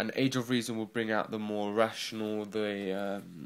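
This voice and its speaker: The speaker has a North London accent and fairly even intonation. The pace is fairly slow. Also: man. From North London, England. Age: 20s. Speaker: book reviewer vlogger. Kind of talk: casual video review. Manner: halting, many fillers.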